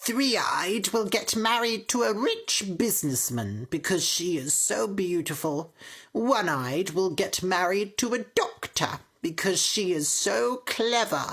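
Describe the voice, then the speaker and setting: Using a put-on character voice with very wide pitch swings, a woman speaks at a medium pitch and a fairly slow pace with very even loudness. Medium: read story. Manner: harsh, domineering.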